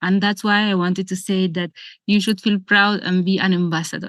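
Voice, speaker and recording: With a strong Spanish accent, a woman speaks at a moderate pace over a quiet background, her voice dry and close with no echo. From Argentina. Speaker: yoga and meditation teacher. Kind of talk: seminar talk. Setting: video call.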